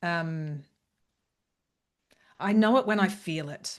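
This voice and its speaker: A loud woman's voice against a quiet background. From northern England. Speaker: leadership facilitator and coach. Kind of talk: casual chat.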